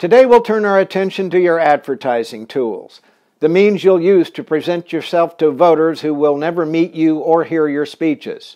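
Pitch moves up and down in an ordinary way. The tone comes across dark and mellow. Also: man, high pitch for a man, moderate pace. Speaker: political consultant. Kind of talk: scripted narration, tutorial. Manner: formal, measured, authoritative.

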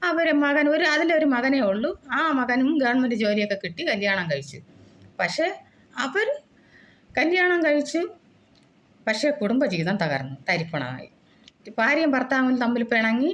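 A woman's voice, high in pitch. It swings very widely up and down. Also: very even loudness. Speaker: YouTuber. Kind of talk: monologue.

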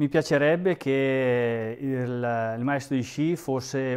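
A man's medium-pitched voice carries fairly even intonation over a quiet background. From northern Italy, Lombardy (Alpine valley). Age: 40s. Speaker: ski instructor and election candidate; ski instructor, election candidate. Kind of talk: interview; campaign appeal. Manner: hesitant, many fillers and repetitions. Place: home room. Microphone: phone near.

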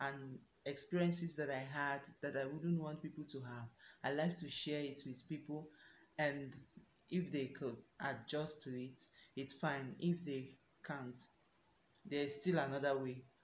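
Speaking with very deep, low pitch and fairly even intonation, a woman leaves long, frequent pauses amid audible room echo and light background noise. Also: fairly slow pace. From Nigeria, Enugu State; Nigeria. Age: 20s. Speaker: YouTuber. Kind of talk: self-introduction Q&A vlog. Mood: warm, earnest. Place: home room. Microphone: phone near.

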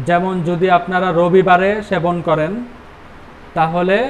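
Light background noise sits behind a man's high-pitched voice. His intonation stays fairly even. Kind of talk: health advice talk. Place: shop. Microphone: lapel.

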